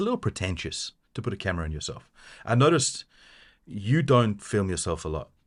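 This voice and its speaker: A man speaks very fast with lively intonation and vocal fry. The background is quiet. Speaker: podcast co-host. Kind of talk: casual chat.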